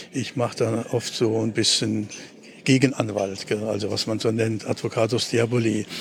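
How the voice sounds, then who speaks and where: A man speaks at a moderate pace and medium pitch, his intonation monotone and flat. Noticeable background noise sits behind him. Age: 70s. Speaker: retired teacher. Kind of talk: conversational interview on a walk. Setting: outdoors, walking through city. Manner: halting, many fillers.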